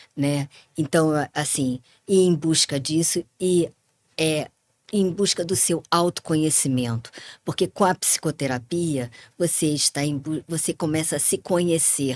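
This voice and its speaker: This woman's voice sits very deep and low. Its pitch shifts in an ordinary way. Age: 60s. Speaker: psychologist. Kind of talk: interview conversation.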